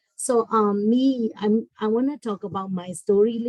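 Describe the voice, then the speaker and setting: A woman speaks with a Burmese accent at a fairly high pitch, her pitch varying an ordinary amount. The sound is dry and close, with no echo. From Burma. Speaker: school family engagement coordinator. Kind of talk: online workshop talk. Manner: halting.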